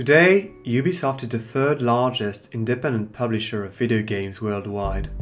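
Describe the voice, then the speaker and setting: A man speaks at a moderate pace. Music plays behind him. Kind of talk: documentary narration.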